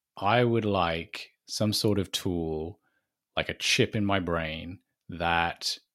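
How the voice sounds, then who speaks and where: A British-accented man with a very deep, low pitch, a bright, sharp tone, and fairly even intonation, on a very clean recording with a silent background. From Britain. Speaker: marketing director. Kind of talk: interview.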